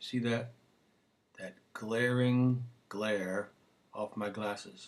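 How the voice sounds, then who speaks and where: A man talks quietly at a medium pitch with fairly even intonation. His pace is very slow. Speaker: singer hosting own video show. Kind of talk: casual solo video monologue. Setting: home webcam recording. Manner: subdued. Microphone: built-in computer camera.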